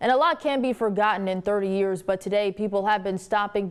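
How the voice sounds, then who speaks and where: With an American accent, a woman of medium pitch talks fairly quickly in an ordinary speaking voice. Her intonation stays fairly even. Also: very clean recording, silent background. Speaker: television news anchor. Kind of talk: TV news anchor broadcast delivery.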